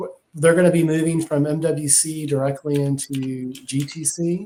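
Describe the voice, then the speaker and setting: This man speaks with a Texas accent at a moderate pace. His fairly high pitch stays monotone and flat. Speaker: technology industry analyst, podcast co-host. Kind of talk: casual podcast discussion. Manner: frequent fillers and repetitions.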